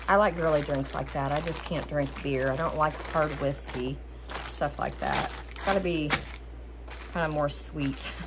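A woman speaks with long, frequent pauses over noticeable background noise. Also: moderate pace. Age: 40s. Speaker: haul vlogger. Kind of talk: casual product haul monologue. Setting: home kitchen, ring light camera. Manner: chatty, rambling. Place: kitchen. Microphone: phone near.

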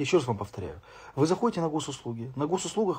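A man's somewhat breathy voice at a very fast pace with very wide pitch swings. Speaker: streamer. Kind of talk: casual live stream chat answering comments. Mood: irritated ranting about fines. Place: home room. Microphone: phone near.

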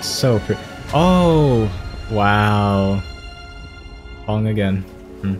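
With music in the background, a man speaks very slowly, using lively intonation and long, frequent pauses. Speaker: gaming streamer. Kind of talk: game playthrough commentary.

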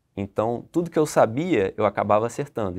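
Pitch moves in an ordinary way. Little sound comes from behind the voice. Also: man. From Niterói, Rio de Janeiro, Brazil; Rio de Janeiro, Brazil. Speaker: tax auditor; candidate. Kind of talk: interview. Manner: halting. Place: studio. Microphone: lapel.

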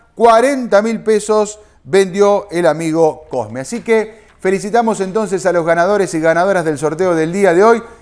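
Speaking at a fairly slow pace with hardly any pauses, a man with a high pitch uses an upbeat tone and ordinary pitch variation. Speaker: bingo results announcer. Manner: brisk, rhythmic, upbeat and formulaic.

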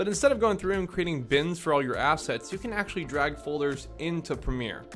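A man talks at a fairly quick pace with lively intonation. Music plays in the background. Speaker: video editing tutor. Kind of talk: tutorial. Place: home room. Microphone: studio mic.

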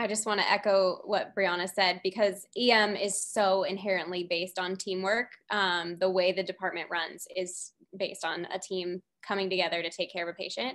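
Against a quiet background, a woman speaks at a moderate pace in a monotone, flat intonation. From Southern California. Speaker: medical student, student council president; student council president. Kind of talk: webinar panel discussion. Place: home room. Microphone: webcam.

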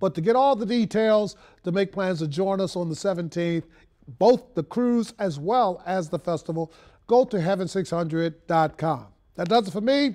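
Against a quiet background, a man with an American accent speaks at a fairly slow pace. His voice is high-pitched with a dark, mellow tone and ordinary pitch variation. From Baltimore, Maryland. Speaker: radio and TV host; radio, TV host. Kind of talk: broadcast hosting; broadcast closing remarks. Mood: warm, earnest. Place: studio. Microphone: lapel.

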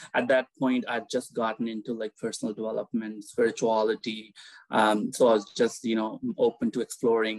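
A man with a slight Indian-Canadian accent speaks in a monotone, flat intonation, the sound dry with no echo against a quiet background. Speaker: guest, spiritual seeker. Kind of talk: casual interview chat. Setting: video call. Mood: calm, warm. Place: home room. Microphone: earbuds.

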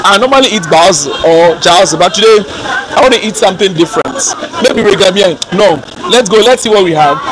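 With crowd noise in the background, a man speaks at a fairly quick pace with lively intonation, in a dry sound with no echo. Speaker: vlogger. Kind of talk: casual vlog chat. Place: street. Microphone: phone near.

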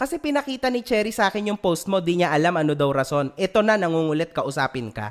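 This man's pitch moves in very wide swings. Behind him, the background stays quiet. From Philippines. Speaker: vlogger and event organizer. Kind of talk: heated rant, callout of another vlogger. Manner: angry, emphatic, cursing. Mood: annoyed, confrontational. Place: home room. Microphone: studio mic.

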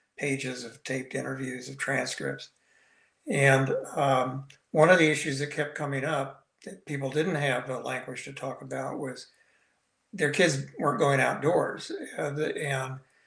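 Speaking with vocal fry at a fairly slow pace, a man keeps fairly even intonation against a quiet background with audible room echo. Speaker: guest. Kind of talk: interview answer. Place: home room. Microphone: video call.

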